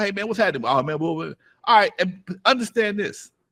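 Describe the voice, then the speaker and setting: A man speaks in a bright, sharp tone marked by vocal fry. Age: 60s. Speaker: hip-hop pioneer and record label owner. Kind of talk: interview. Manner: animated.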